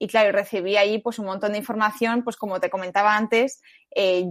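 A woman speaks with fairly even intonation. The recording is very clean with a silent background. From Spain, Madrid area. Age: 20s. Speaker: journalism student. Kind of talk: faith testimony interview. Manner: halting.

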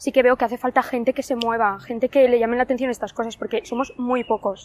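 A woman's high, monotone, flat voice at a very fast pace, in dry, close sound with no echo. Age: young. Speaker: university student volunteer. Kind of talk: testimony.

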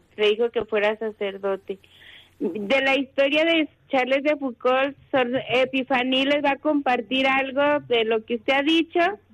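A woman's voice, close and dry, without any echo. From Mexico. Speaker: contemplative nun. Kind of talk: phone interview.

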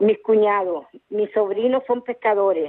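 Fairly high pitch from a woman's voice. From Tenerife, Canary Islands. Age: 60s. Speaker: caller. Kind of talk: phone-in chat. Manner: halting.

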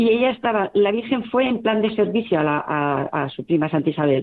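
Lively intonation, a moderate pace and an ordinary speaking voice from a woman. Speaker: volunteer group coordinator. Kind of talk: interview.

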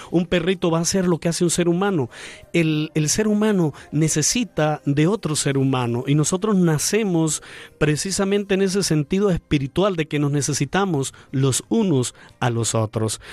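This is a normal speaking voice from a man, fairly high in pitch, with lively intonation and very even loudness. The sound is dry and close, without echo. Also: moderate pace. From Venezuela, Andean region (Mérida). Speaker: priest. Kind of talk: radio interview. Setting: studio.

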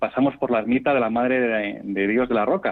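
A man's voice at a medium pitch. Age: 40s. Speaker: amateur cyclist. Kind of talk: interview. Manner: halting.

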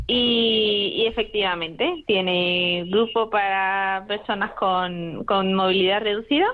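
A woman speaks at a very slow pace, her pitch medium. Her loudness stays very even, and her intonation is fairly even. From Spain, Madrid. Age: 20s. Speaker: medical student. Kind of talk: radio interview. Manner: halting, repeats words.

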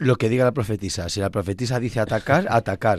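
Very fast speech comes from a man at a fairly low pitch, with ordinary pitch variation. The recording is very clean, with a silent background. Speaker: radio host, priest. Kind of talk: radio talk.

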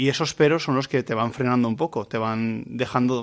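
A man uses a normal speaking voice at a medium pitch with ordinary pitch variation. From Valencia region, Spain (Vilamarchant). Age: 30s. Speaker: seminarian. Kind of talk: radio interview. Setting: radio recording in a seminary.

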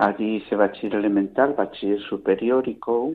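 In a normal speaking voice, a man talks at a moderate pace with a fairly low pitch and fairly even intonation. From Castile, Palencia province. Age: 60s. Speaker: retired blind teacher, volunteer. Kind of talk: radio interview.

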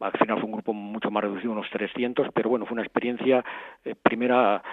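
Flat and monotone, a man talks at a very fast pace. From Spain, Madrid. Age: 60s. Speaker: archbishop-elect, Franciscan friar. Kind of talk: interview testimony. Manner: halting, with frequent repetitions.

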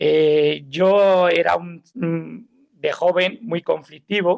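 Here a man is talking. His voice sounds dry and close, without any echo. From Spain (Alicante, raised mostly Málaga). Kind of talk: testimony. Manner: halting.

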